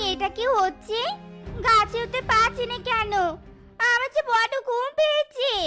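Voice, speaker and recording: A female-sounding voice in a cartoonish character voice goes extremely high in pitch at a fairly slow pace, with faint music in the background. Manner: sharp, scolding.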